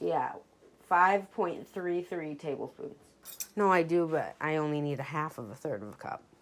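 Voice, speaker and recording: A woman speaks at a moderate pace with a very deep, low pitch and lively intonation. There is noticeable background noise. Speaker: baking podcast host. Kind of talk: casual cooking tutorial. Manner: casual, with filler words; occasional stumbling.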